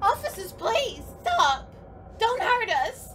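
Over clear background music, a woman speaks fairly slowly at an extremely high pitch. Her pitch swings very widely. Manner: pleading.

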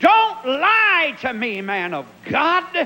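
In an American accent, a man speaks in a raised, projected voice. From Pennsylvania. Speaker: evangelist preacher. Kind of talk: sermon. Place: church. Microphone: handheld.

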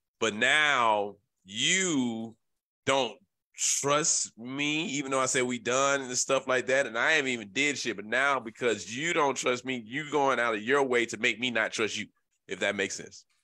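A man's animated, bright, sharp voice with ordinary pitch variation, on a very clean recording with a silent background. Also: medium pitch for a man, moderate pace. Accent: Memphis. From Memphis, Tennessee. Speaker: podcast host. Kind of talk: casual banter podcast chat. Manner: loud, profane, animated.

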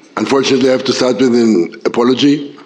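A man speaks at a very fast pace with a medium pitch. The room echo is audible and the background noise is noticeable. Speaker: EU agency official. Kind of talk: conference speech. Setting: conference panel. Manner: formal.

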